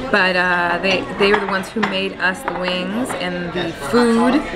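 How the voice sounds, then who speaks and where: Fairly slow speech with ordinary pitch variation over loud background noise. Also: woman. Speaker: vlogger. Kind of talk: casual vlog chat. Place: cafe. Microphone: phone near.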